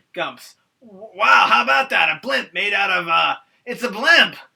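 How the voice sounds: A man's put-on character voice, raised and projected, high-pitched and at a moderate pace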